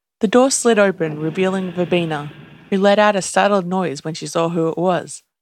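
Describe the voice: A plain reading aloud of text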